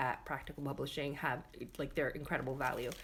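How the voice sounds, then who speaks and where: A woman talks in an animated tone, with noticeable background noise around her. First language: not English. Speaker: paper crafter. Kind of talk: livestream craft tutorial. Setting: live stream. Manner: chatty, animated.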